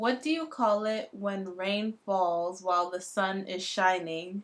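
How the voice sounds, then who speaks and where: This woman has an accent from New York and speaks at a medium pitch. Her pace is very slow. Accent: American, New York. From New York City, USA. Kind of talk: casual talk to camera.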